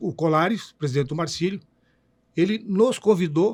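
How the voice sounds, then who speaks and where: This man's voice is high in pitch, with ordinary pitch variation, and he speaks at a moderate pace. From Itajaí, Santa Catarina, southern Brazil. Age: 70s. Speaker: former goalkeeper and football commentator. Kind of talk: interview, reminiscing about career.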